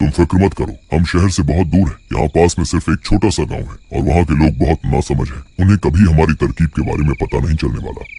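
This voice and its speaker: Someone rattles along in a cartoonish character voice at a very fast pace. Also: man, very deep, low pitch for a man. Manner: conspiratorial.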